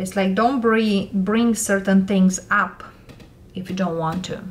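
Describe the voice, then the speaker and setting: Her pace is fairly slow. The woman keeps a monotone, flat intonation. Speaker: tarot reader. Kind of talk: tarot reading commentary. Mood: calm, gentle advice.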